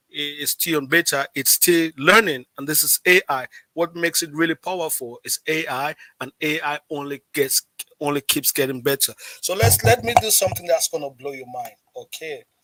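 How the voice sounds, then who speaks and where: Music plays behind a man whose fairly high voice has an animated tone and ordinary pitch variation. He speaks fairly slowly, and the sound is dry and close with no echo. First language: not English. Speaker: livestream host. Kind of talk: live stream tutorial. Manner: halting, repeats words.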